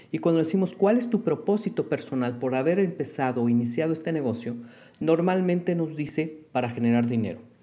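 With a Mexican accent, a man speaks at a fairly quick pace in a dark, mellow tone, his fairly high pitch carried by lively intonation. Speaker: business consultant and lecturer. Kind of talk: solo podcast monologue.

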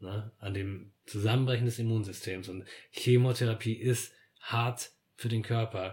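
Somewhat breathy and at medium pitch, a man speaks fairly slowly in a flat monotone. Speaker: podcast guest. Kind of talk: casual conversation about grief and death.

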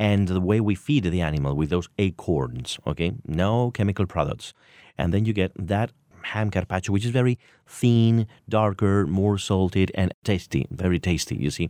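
A man with a Spanish accent and a very deep, low pitch speaks at a moderate pace with ordinary pitch variation and very even loudness, in a dry, close sound with no echo. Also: very clean recording, silent background. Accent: Castilian Spanish. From Madrid, Spain. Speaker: Spanish food enthusiast. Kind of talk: casual radio interview. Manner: animated.

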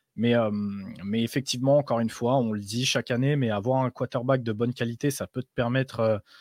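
A plain, everyday voice from a man, medium in pitch, with fairly even intonation and a moderate pace, in a very clean, dry, close recording with no echo and a silent background. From Europe. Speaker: podcast co-host. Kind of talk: casual chat.

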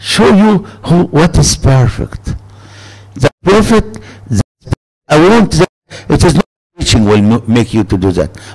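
With an Arabic accent, a man talks at a fairly slow pace and medium pitch, using very wide pitch swings, long, frequent pauses and very even loudness, in a dry, close sound with no echo. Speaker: preacher. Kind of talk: sermon. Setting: church gathering with audience. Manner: animated.

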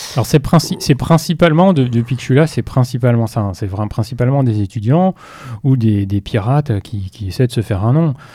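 A man with a dark, mellow, somewhat breathy tone talks fairly quickly at a medium pitch with lively intonation. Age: 40s. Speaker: IT security specialist at a bank. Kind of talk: interview.

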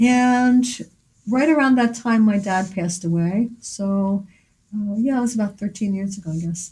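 The speaker has an American accent and a somewhat breathy, dark, mellow tone. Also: woman, medium pitch for a woman, ordinary pitch variation, moderate pace. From Philadelphia. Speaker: artist and art teacher. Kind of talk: interview. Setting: gallery.

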